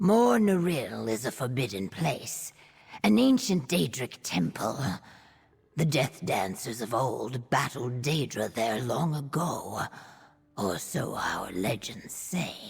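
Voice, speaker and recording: Someone uses a put-on character voice at a low-to-middle pitch and a fairly slow pace. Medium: video game. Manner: earnest, formal.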